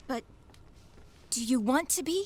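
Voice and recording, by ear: Putting on a character voice, a woman talks slowly at a high pitch, her slightly mellow tone carrying a slightly husky edge and lively intonation.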